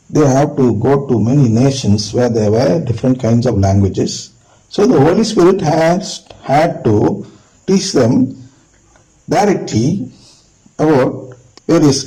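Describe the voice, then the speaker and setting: A man speaks at a fairly slow pace in a somewhat breathy, fairly high voice with a dark, mellow tone, very wide pitch swings and very even loudness. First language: not English. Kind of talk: religious teaching talk.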